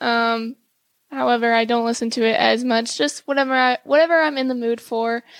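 In an ordinary speaking voice, a woman with a fairly high pitch and ordinary pitch variation talks at a fairly quick pace, in a dry, close sound with no echo and a very clean recording with a silent background. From South Texas (small town). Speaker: college volleyball player. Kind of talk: interview. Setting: studio.

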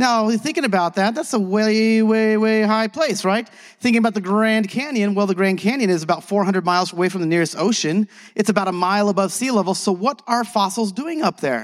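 A man with a high pitch speaks at a fairly quick pace in an energetic tone, with ordinary pitch variation, very even loudness, and a very clean recording over a silent background. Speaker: conference speaker, tour guide. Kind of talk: casual teaching talk. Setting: stage. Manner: fast talker; energetic, jokey.

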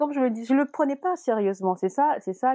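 A woman speaks with a dark, mellow tone and ordinary pitch variation, the sound dry and close with no echo. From Senegal (Dakar). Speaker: fashion model. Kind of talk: interview.

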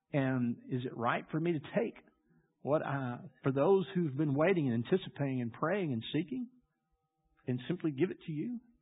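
A man's fairly high voice in a Louisiana accent, lively in intonation, at a moderate pace with long, frequent pauses. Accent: Louisiana Southern US. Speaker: pastor. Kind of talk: sermon.

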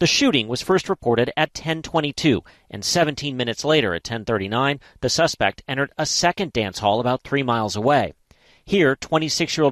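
Over a quiet background, a man with an unremarkable speaking voice talks at a moderate pace and medium pitch with lively intonation, the sound dry and close with no echo. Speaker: news reporter. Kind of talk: news report.

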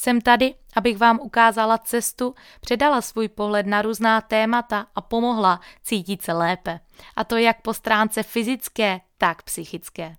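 On a very clean recording with a silent background, a woman speaks at a moderate pace in a fairly high pitch. She has an unremarkable speaking voice, heard as a dry, close sound with no echo. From Moravia, Czechia. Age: 20s. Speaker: fitness trainer and podcast host. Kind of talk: scripted monologue. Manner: upbeat.

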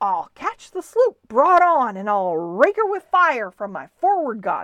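A woman's put-on character voice, fairly high and fairly bright, with very wide pitch swings at a fairly slow pace

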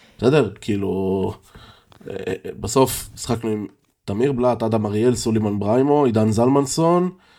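The man talks at a moderate pace in a dark, mellow tone. Long pauses come often. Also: medium pitch for a man, ordinary pitch variation. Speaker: basketball fan podcast co-host. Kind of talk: casual chat. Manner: loud.

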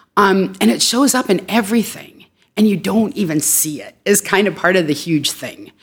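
A woman with an ordinary speaking voice and an American accent talks at a moderate pace with medium pitch, lively intonation, and big swings in loudness. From Worcester, Massachusetts, US. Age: middle-aged. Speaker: social work educator. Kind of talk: casual interview.

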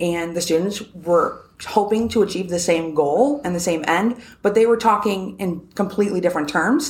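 A woman speaks in an American accent at a moderate pace. She has a normal speaking voice at a medium pitch with ordinary pitch variation. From US Northeast, New Hampshire. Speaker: property attorney. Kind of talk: interview. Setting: studio, same room as host.

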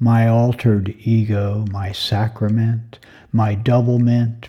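The voice is somewhat breathy with a dark, mellow tone, moving at a very slow pace in monotone, flat intonation. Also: man. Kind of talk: poet reading aloud.

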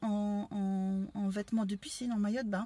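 A woman talks at a moderate pace with fairly high pitch. She has an unremarkable speaking voice. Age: 50s. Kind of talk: casual chat.

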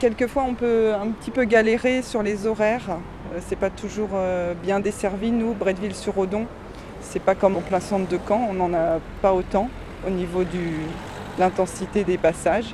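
Speech comes at a moderate pace, broken by long, frequent pauses. Noticeable background noise is present. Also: woman, medium pitch for a woman, fairly even intonation. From Caen, Normandy. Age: 40s. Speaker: commuter, mother. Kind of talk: testimony.

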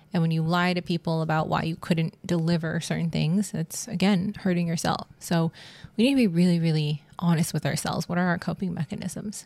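With an ordinary speaking voice, a woman talks in a fairly low pitch. Her pace is fairly quick and her intonation fairly even. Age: 30s. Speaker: podcast host. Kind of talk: casual monologue. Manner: laughing often.

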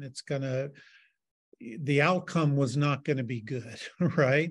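In a quiet background, a man with an unremarkable speaking voice talks at a fairly slow pace, his pitch fairly high with ordinary variation. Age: 60s. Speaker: artist and arts health educator. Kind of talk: interview.

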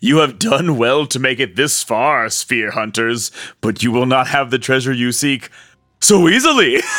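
In a put-on character voice, a man talks at medium pitch and a moderate pace. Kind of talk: formal, archaic. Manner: ominous, menacing, taunting.

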